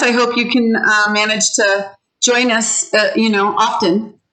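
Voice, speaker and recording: Room echo is audible as a woman speaks at a fairly high pitch with a bright, sharp tone. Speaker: ESL teacher. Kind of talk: online class. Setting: video call. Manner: animated.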